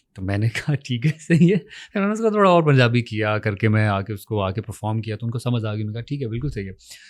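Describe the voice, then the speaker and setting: In a normal speaking voice, someone talks with hardly any pauses and ordinary pitch variation, on a very clean recording with a silent background. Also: man, medium pitch for a man. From Punjab, Pakistan. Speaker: actor. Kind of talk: interview.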